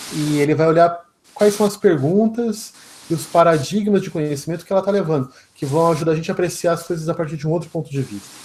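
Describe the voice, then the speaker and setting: Talking at a very fast pace, a man uses ordinary pitch variation. His pitch is high for a man. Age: young. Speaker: lecturer, economist and philosopher. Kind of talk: lecture and Q&A.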